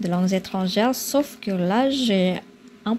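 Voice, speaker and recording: A woman with an Indonesian accent at medium pitch, very slow pace and ordinary pitch variation, amid noticeable background noise. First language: Indonesian (speaking French). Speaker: vlogger. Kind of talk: casual vlog talk. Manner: halting, many filler sounds.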